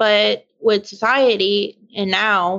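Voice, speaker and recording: A woman with a medium pitch speaks in an unremarkable speaking voice. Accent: American. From US South, Louisiana bayou. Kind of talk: interview testimony.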